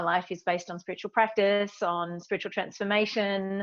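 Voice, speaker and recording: A woman's medium-pitched voice with monotone, flat intonation against a quiet background. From Australia. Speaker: meditation teacher and speaker. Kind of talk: interview.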